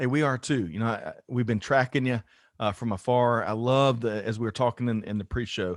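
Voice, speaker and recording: In a very clean recording with a silent background and a dry, close sound with no echo, a man with an American accent speaks at a fairly quick pace in a plain, everyday voice. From US South, South Carolina. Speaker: podcast host. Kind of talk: interview.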